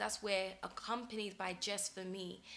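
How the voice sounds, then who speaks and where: Woman with a British accent, bright, sharp tone and medium pitch, at a moderate pace. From UK. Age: young. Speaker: talk show presenter. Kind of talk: personal monologue. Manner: hesitant with frequent fillers.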